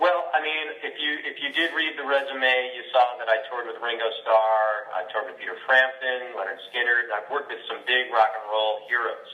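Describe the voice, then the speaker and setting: Over noticeable background noise, a man talks at a fairly quick pace with hardly any pauses. His pitch varies in an ordinary way, while his loudness swings widely. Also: medium pitch for a man. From Brooklyn, New York. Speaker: voice actor and singer-songwriter. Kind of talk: interview answer. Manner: casual, conversational.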